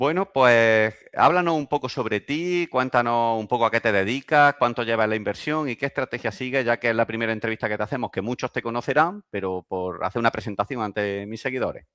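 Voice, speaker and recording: With a Spanish accent, a man talks at a fairly quick pace, barely pausing, his pitch medium with ordinary variation. The sound is dry and close with no echo, and the background is quiet. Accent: Spanish (Spain). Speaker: investing youtuber, host. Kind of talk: casual interview.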